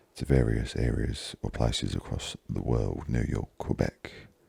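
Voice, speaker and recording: A man's voice at a fairly slow pace. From London, England. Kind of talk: ASMR gaming commentary.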